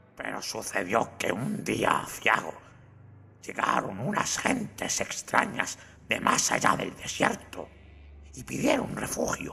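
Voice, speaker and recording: A man's shaky voice moves at a fairly slow pace. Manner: nervous, stammering.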